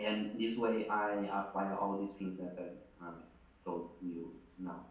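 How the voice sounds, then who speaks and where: A man with a non-native accent at a very slow pace, amid audible room echo. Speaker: business founder. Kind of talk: interview. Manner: halting.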